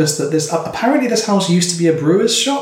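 High for a man, this voice carries an English Midlands accent. His intonation is lively. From England, Northampton. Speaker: artist and poet. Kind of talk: casual chat. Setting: home kitchen.

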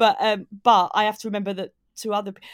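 A woman at medium pitch and moderate pace, in a southern English accent, on a very clean, dry, close recording with a silent background and no echo. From southeast England, Maidstone in Kent. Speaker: comedian. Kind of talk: casual interview.

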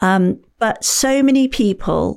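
A woman with a British accent speaks with ordinary pitch variation in a very clean recording with a silent background. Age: 50s. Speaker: author and paddleboarder. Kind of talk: podcast interview.

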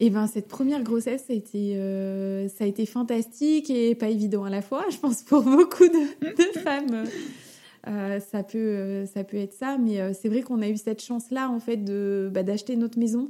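Speaking at a moderate pace, a woman with a fairly high pitch and a dark, mellow tone uses ordinary pitch variation. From Paris region, France. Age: 30s. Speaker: mother sharing her pregnancy story. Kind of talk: interview testimony.

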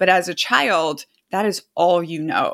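With an American accent and an ordinary speaking voice, a woman talks in a fairly low pitch with fairly even intonation on a very clean recording with a silent background. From Brazil, raised by American parents. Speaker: author and army veteran. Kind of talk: interview.

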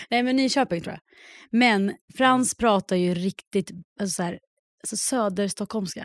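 On a very clean recording with a silent background and a dry, close sound with no echo, a woman speaks with long, frequent pauses, ordinary pitch variation and big swings in loudness. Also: medium pitch for a woman, moderate pace. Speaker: podcast co-host. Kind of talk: casual chat.

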